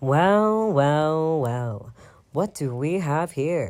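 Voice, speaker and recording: Using a put-on character voice, a man speaks at a very slow pace with a fairly high pitch and lively intonation. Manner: snide.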